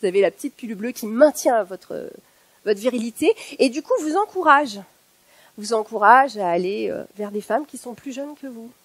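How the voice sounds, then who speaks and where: A woman's plain, everyday voice, fairly high in pitch, with lively intonation, big swings in loudness and a moderate pace, in a dry, close sound without echo. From northern France. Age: 50s. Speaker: factory worker and activist public speaker. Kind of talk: one-person political stage talk. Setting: stage with audience.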